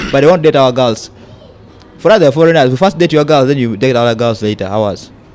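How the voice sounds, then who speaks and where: Over noticeable background noise, a man talks at a very fast pace and a medium pitch with lively intonation. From South Sudan, raised in Uganda. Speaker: immigrant interviewee. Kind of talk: casual chat.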